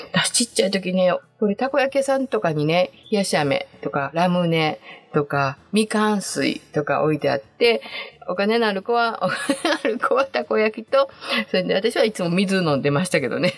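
A woman's cheerful tone at a moderate pace, medium in pitch with very wide pitch swings, over noticeable background noise. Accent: Kansai. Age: 60s. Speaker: podcast host. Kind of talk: casual monologue. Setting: home closet. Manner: cheerful, laughing often.

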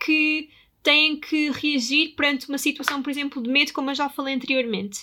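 Raising and projecting her voice, a woman speaks with a high pitch, a bright, sharp tone and ordinary pitch variation. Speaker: podcast host. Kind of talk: solo podcast talk.

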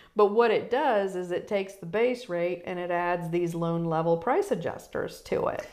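A woman with an American accent, ordinary pitch variation and hardly any pauses, over music in the background. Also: medium pitch for a woman, moderate pace. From Virginia (Newport News), US South. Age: 50s. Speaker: mortgage broker. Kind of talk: interview, personal testimony.

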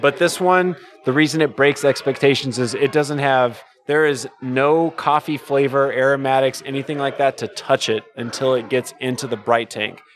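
Music plays in the background as a man speaks at a moderate pace, fairly high in pitch, with fairly even intonation. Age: 30s. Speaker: brewer. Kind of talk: casual chat.

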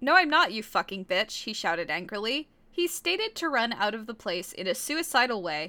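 The voice heard here is a natural reading voice.

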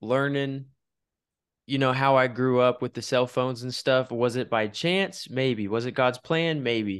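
A man with an American accent and a normal speaking voice talks at a moderate pace and medium pitch. His intonation is fairly even, over a quiet background. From Wichita, Kansas. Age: 20s. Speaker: podcast host. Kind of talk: casual interview chat.

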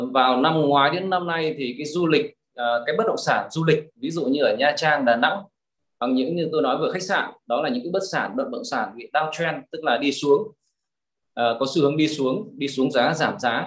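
This man has a normal speaking voice, fairly high in pitch for a man, with ordinary pitch variation and a moderate pace. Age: 50s. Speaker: real estate investor and trainer. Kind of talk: interview.

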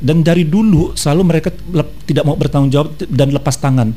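This man speaks. His pace is very fast. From North Sumatra (Batak). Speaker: radio co-host. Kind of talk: casual morning radio chat. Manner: loud.

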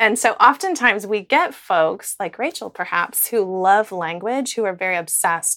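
A woman speaks with an American accent, her intonation lively and her tone bright and sharp at a medium pitch. The recording is very clean, with a silent background. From US, small town. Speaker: professor. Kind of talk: interview. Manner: hesitant, many fillers.

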